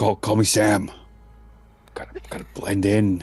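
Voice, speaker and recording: Putting on a character voice, a man speaks at a moderate pace with a fairly low pitch and flat, monotone intonation. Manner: put-on disguise voice.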